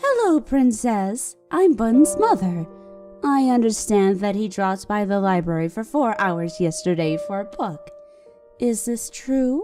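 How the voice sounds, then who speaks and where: A put-on character voice, female-sounding and medium in pitch, at a moderate pace over faint music in the background. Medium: read story. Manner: sharp, demanding.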